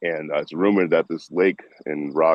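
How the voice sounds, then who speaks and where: A man speaks with a Boston accent. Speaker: train-hopping traveler. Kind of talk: casual live stream chat. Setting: video call. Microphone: streaming through Zoom on laptop.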